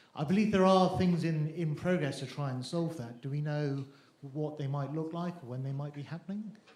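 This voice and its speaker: A man speaks in a British accent, sounding somewhat breathy. His pitch varies in an ordinary way. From UK. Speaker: satellite developer. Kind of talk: panel discussion.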